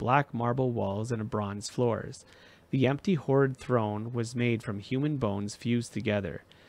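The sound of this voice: The reading voice sounds unforced. Text is spoken aloud.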